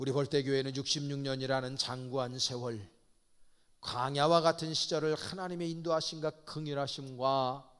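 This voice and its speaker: An unremarkable speaking voice from a man, fairly high in pitch, at a moderate pace with fairly even intonation. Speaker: pastor. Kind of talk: sermon.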